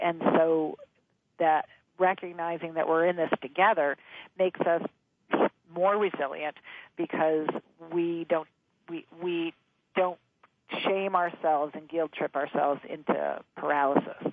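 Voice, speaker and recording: A woman's fairly low voice at a fairly slow pace, with fairly even intonation and long, frequent pauses. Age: 60s. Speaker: author and change expert. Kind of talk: interview.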